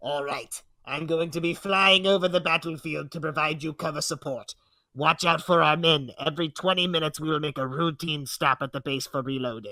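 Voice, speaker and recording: Using a put-on character voice, a man talks at a fairly quick pace, fairly high-pitched and with fairly even intonation. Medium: read story. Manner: brisk, matter-of-fact orders.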